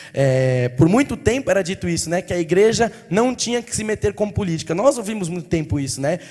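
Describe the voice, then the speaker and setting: A man speaks at a fairly quick pace in a high voice with very wide pitch swings, over noticeable background noise. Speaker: pastor. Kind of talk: sermon. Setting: church. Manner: fast.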